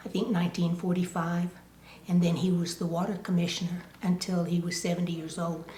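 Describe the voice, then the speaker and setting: Somewhat breathy and dark, mellow in tone, a woman talks at a fairly quick pace in a fairly low pitch with monotone, flat intonation. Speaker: oral history interviewee. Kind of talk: oral history interview.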